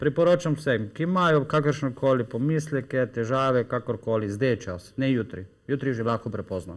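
A man with a plain, everyday voice speaks at medium pitch with ordinary pitch variation against a quiet background. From Slovenia, Styria and coast (Maribor, Piran); Slovenia. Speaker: company founder promoting health products; guest. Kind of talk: TV talk show interview. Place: studio. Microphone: lapel.

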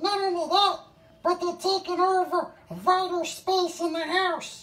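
A woman speaks in a cartoonish character voice, extremely high-pitched, with a flat, monotone delivery at a fairly slow pace. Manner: conspiratorial, indignant.

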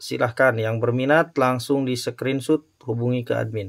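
A man speaks against a quiet background. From Indonesia. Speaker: online gemstone and ring seller; ring seller. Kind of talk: sales commentary. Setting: online live stream, showing items to camera. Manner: upbeat, salesy, urging viewers to act now. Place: shop. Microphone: phone near.

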